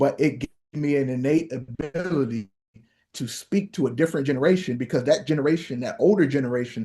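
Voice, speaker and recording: A dark, mellow tone with an American accent, fairly quick pace and ordinary pitch variation over a quiet background. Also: man. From Ohio (East Cleveland). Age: 40s. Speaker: pastor. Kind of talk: workshop lecture. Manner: conversational, direct address to audience.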